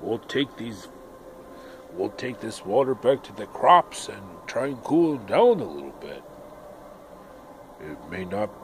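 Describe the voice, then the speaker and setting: In a put-on character voice with a medium pitch, a man speaks at a fairly slow pace with long, frequent pauses against clear background noise. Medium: solo performance. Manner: gruff, exasperated.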